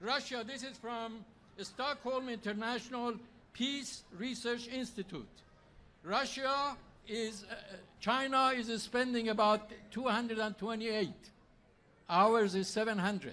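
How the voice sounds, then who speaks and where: In a raised, projected voice, a man with an extremely high pitch talks at a fairly slow pace, his intonation fairly even and broken by long, frequent pauses. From Iran. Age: 70s. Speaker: political candidate. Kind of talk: campaign speech.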